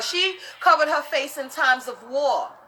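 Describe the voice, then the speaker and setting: With music in the background, a woman speaks in a raised, projected voice at a high pitch. Her tone is animated, with ordinary pitch variation. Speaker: live stream host, spiritual practitioner. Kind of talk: casual live stream chat. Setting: live social media stream. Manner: loud.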